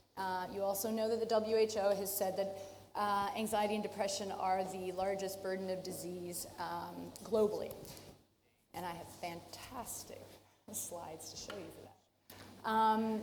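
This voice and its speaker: A woman speaks at a fairly slow pace in a medium pitch, with audible room echo. Her intonation is flat and monotone. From Canada. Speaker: professor. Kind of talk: conference talk. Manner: casual.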